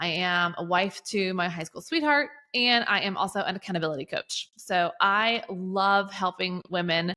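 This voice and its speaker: A woman with a Southern US accent, medium pitch and a bright, sharp tone, moderate pace, ordinary pitch variation and hardly any pauses. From US South, Georgia. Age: 30s. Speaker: accountability coach. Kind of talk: podcast interview. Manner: casual, chatty.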